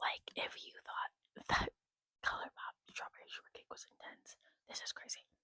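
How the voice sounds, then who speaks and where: A woman whispers at a moderate pace. The sound is dry and close, with no echo. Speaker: makeup ASMR creator. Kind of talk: casual talk to camera, makeup collection show-and-tell. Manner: casual, chatty, conversational; lo-fi ASMR style.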